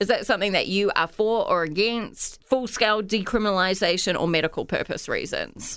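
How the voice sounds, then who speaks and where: A woman speaks fairly quickly with hardly any pauses, in an ordinary speaking voice. Her pitch is medium with ordinary variation, and her loudness stays very even. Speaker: podcast host. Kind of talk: casual solo chat. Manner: chatty, casual.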